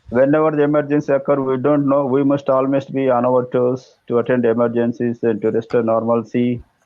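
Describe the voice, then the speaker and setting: Speaking at a fairly quick pace with hardly any pauses, a man with an Indian accent keeps a medium pitch and a monotone, flat intonation. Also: very even loudness. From South India. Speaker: electrical engineer, English learner. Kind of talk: casual chat. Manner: halting.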